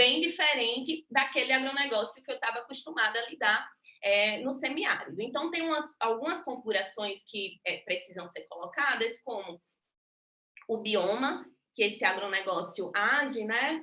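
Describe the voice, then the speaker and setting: In a Rio Grande do Norte accent, a woman talks at a moderate pace with a fairly high pitch, lively intonation and a bright, sharp tone. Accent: northeastern Brazilian (potiguar). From Natal, Rio Grande do Norte, Brazil. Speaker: university professor. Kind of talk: lecture.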